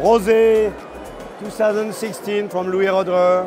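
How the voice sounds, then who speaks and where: Music plays in the background as a man speaks in a dry sound with no echo. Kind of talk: interview answer. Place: hall.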